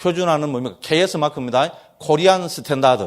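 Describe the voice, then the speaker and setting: Delivered in an animated tone, the speech carries a strong Gyeongsang accent. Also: man. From Gyeongsang region, South Korea. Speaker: Buddhist monk teacher. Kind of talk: lecture.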